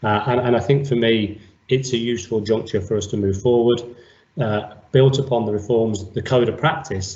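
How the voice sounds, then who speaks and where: There is audible room echo around a man's somewhat breathy voice, medium in pitch with ordinary pitch variation. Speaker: senior police officer. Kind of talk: interview. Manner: formal.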